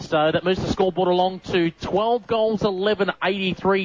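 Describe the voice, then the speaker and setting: Over noticeable background noise, a man with an Australian accent talks at a moderate pace in a high voice with ordinary pitch variation. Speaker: sports commentator. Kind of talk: live sports commentary, play-by-play. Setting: radio broadcast from ground.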